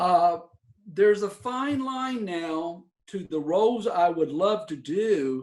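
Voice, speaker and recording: Speaking with a Southern US accent, a man talks at a very slow pace. His intonation is lively. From US South, coastal North Carolina. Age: 60s. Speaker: actor and theater teacher. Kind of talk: interview conversation.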